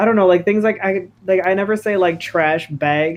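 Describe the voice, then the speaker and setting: The pace is moderate. The speaker is a man with an American accent. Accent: Wisconsin, comes out at times. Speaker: streamer. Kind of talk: casual chat while gaming.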